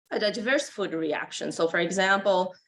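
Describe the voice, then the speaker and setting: A woman with a Brazilian accent. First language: Portuguese. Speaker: animal nutrition professor. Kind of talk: conference lecture.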